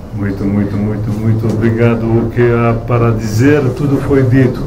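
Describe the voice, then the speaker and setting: Amid noticeable background noise and audible room echo, a man speaks at medium pitch in a monotone, flat intonation. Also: moderate pace. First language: Romanian (speaking Portuguese). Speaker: translator. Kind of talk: book launch speech. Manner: halting.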